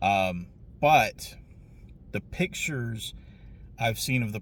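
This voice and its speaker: With a Southern US accent and lively intonation, a man speaks at a medium pitch on a very clean recording with a silent background. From Southeastern United States. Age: 40s. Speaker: retro game reviewer. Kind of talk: casual vlog talk. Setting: hotel room.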